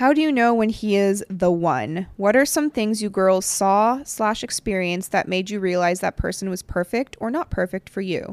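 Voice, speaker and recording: A woman with a normal speaking voice and medium pitch talks at a moderate pace with lively intonation and hardly any pauses, in a dry, close sound with no echo. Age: 30s. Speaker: podcast host. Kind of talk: casual chat.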